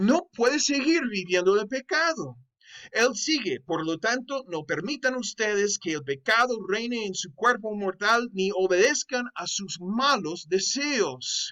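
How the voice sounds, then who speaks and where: A man with a non-native accent speaks at a very slow pace in a high pitch, with very wide pitch swings. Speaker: Bible teacher. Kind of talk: online course lecture. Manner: halting.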